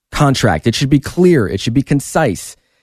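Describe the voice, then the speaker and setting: The man's voice has a dark, mellow tone, heard in a dry, close sound with no echo. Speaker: real estate agent and radio host. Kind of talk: radio talk show advice. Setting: radio studio. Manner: fast.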